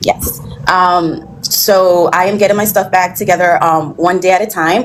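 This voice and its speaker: Over noticeable background noise, a woman speaks at medium pitch in a monotone, flat intonation with very even loudness. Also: moderate pace. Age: 30s. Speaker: caller. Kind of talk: call-in advice show. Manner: halting, many fillers.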